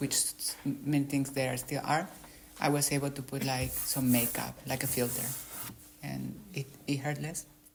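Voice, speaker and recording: Very deep, low pitch from a woman with a Spanish accent, monotone and flat, with vocal fry, a moderate pace and long, frequent pauses. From Mexico. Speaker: author. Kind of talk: interview.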